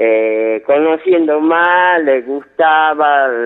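A man talks with ordinary pitch variation. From Yerba Buena, Tucumán, Argentina. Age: 50s. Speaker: carpenter. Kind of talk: phone-in call. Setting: phone call. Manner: halting.

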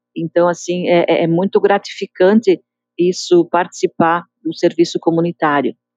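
A woman with a normal speaking voice talks at a fairly slow pace, fairly low in pitch and fairly even in intonation, in a dry, close sound with no echo. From Galópolis, Caxias do Sul, southern Brazil. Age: 60s. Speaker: community association member, local resident. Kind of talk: interview testimony.

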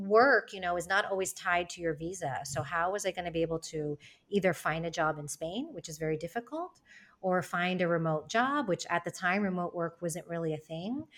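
In a very clean recording with a silent background, a woman with a plain, everyday voice and an American accent speaks at a fairly quick pace, with fairly low pitch and ordinary pitch variation. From United States. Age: 40s. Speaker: founder of a community for women moving abroad. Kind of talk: podcast interview.

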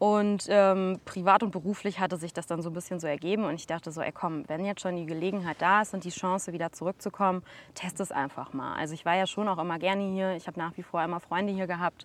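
In a very clean recording with a silent background, a woman with a fairly low voice speaks at a very fast pace with fairly even intonation and hardly any pauses. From Sauerland, Germany. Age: 30s. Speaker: geopark director. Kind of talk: casual interview.

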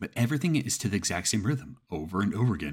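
Very fast and very deep, a man's somewhat breathy voice swings very widely in pitch on a very clean recording with a silent background. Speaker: horror story narrator. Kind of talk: first-person ghost story reading aloud. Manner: casual, rambling commentary around the story.

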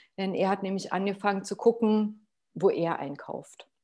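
A woman's somewhat breathy voice sits at a medium pitch, with a dark, mellow tone. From Potsdam, Germany. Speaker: sustainability consultant. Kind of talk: interview.

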